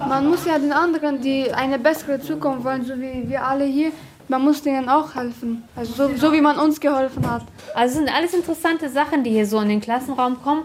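Her pitch is high and her pitch variation ordinary. The woman talks at a fairly quick pace. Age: 40s. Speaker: trainee schoolteacher. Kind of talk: classroom teaching.

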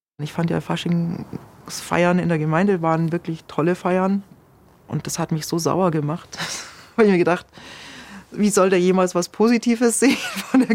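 Delivered at a moderate pace with ordinary pitch variation, the speech has long, frequent pauses over noticeable background noise. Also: woman. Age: 50s. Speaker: former cult member. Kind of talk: interview testimony.

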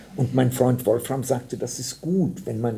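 With a dark, mellow tone and a somewhat breathy quality, a man speaks at medium pitch using lively intonation. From Oberhessen, Germany (born in Bohemia). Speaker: novelist. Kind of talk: interview narration.

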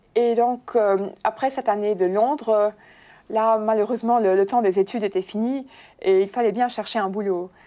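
Over a silent background in a very clean recording, a woman with a fairly high pitch and a dark, mellow tone speaks at a fairly slow pace with fairly even intonation. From Luxembourg. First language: Luxembourgish (speaking French). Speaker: bank press officer. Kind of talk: interview.

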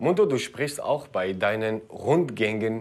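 A man at medium pitch and a very slow pace. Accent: Kurdish. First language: Kurdish (speaking German). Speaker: actor and video presenter. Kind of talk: educational video presenting.

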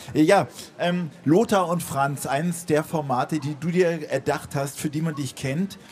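A man against noticeable background noise. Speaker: radio host. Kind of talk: live radio interview. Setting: outdoor stage with live audience.

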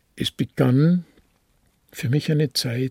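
In a dry, close sound with no echo, a man speaks somewhat breathily with lively intonation. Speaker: retired pastor and Nazi-era persecution witness. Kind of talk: testimony interview.

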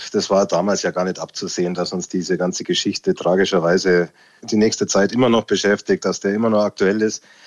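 Talking at a fairly quick pace, a man keeps a fairly low pitch and a monotone, flat intonation. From Lower Bavaria. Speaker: music producer. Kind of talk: interview.

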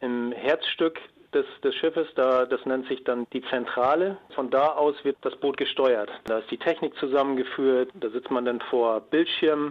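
Ordinary pitch variation at a moderate pace, with few pauses. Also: man, medium pitch for a man.

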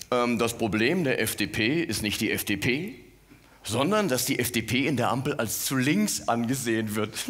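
A man speaks at a very slow pace and medium pitch, with ordinary pitch variation and very even loudness. The room echo is audible. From Mainz, Rhineland-Palatinate. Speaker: cabaret artist. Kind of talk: stand-up.

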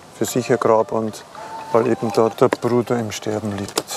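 Over noticeable background noise, a man speaks very slowly at a medium pitch with monotone, flat intonation. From Upper Palatinate, Bavaria. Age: 50s. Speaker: cemetery manager. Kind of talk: on-site interview.

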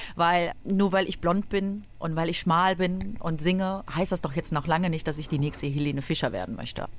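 Speaking at a moderate pace with hardly any pauses, a woman sounds energetic, her pitch varying in an ordinary way. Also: fairly low pitch for a woman. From Cologne, Germany. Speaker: schlager singer. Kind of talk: radio interview.

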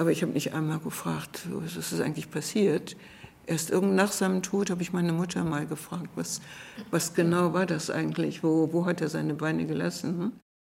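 Her fairly low voice carrying vocal fry, a woman speaks at a fairly quick pace with fairly even intonation. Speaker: retired teacher. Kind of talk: interview testimony.

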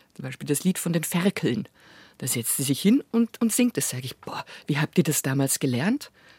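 Somewhat breathy and very deep and low in pitch, a woman speaks at a moderate pace with very wide pitch swings and big swings in loudness. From Bavaria, Munich. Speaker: chanson singer and actress. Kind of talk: interview conversation.

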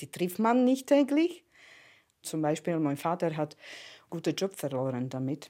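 In a very clean recording with a silent background, a woman with a Slovak accent speaks fairly slowly in a very deep, low voice with a dark, mellow tone. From eastern Slovakia (Prešov). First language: Slovak (speaking German). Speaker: immigrant interviewee. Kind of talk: personal testimony. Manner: halting.

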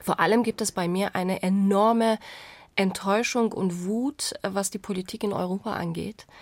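A woman talks in a normal speaking voice with a medium pitch. Her speed is moderate and her intonation fairly even. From Iran. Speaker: journalist. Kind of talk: casual chat.

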